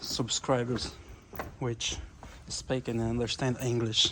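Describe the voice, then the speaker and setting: Medium-pitched male speech in a flat monotone, over noticeable background noise. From Brazil. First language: Portuguese. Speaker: carpenter vlogger. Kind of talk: casual video tour.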